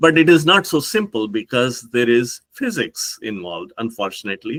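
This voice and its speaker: Speaking with an Indian accent at a moderate pace, a man at medium pitch makes very wide pitch swings, in a dry, close sound with no echo. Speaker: professor. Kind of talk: conference talk. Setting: pre-recorded remote talk. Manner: hesitant, with frequent fillers.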